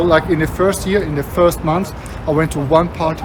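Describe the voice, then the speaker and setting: Someone with a non-native accent talks at a fairly quick pace over noticeable background noise. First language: not English. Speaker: travel vlogger. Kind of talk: walking vlog narration. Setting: outdoors, walking in city.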